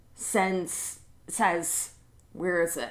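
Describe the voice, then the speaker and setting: Fairly low-pitched female speech at a very slow pace, with audible room echo. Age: 40s. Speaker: manifestation coach, channel host. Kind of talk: casual explainer monologue. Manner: halting, many restarts and fillers.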